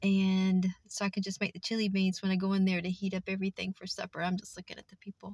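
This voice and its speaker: A woman speaks in a flat monotone, somewhat breathy, with a dry, echo-free sound and a quiet background. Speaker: vlogger. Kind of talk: casual vlog chat. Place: car. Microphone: phone near.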